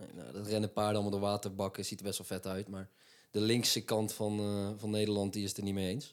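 On a very clean recording with a silent background, a man talks very fast at a fairly low pitch, monotone and flat, with big swings in loudness. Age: 20s. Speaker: podcast co-host, sports. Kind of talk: casual chat.

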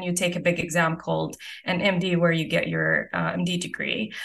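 A woman speaks with a fairly low pitch and an Arabic accent. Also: quiet background. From Saudi Arabia, Eastern Province. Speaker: physician-scientist. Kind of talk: interview.

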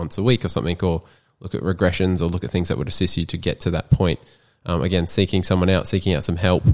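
On a very clean recording with a silent background, a man with an Australian accent talks very fast, his very deep, low voice showing ordinary pitch variation. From Australia, Queensland coast. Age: 20s. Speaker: personal trainer and graphic designer. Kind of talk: casual chat.

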